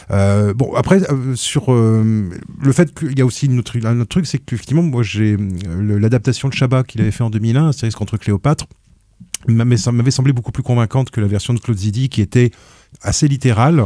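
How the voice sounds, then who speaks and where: With a Breton accent, the speaker has a dark, mellow tone and ordinary pitch variation at a fairly quick pace. The sound is dry and close, with no echo. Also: man, medium pitch for a man. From Brittany, France. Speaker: film critic on a podcast panel. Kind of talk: casual panel discussion. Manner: halting, many fillers and restarts.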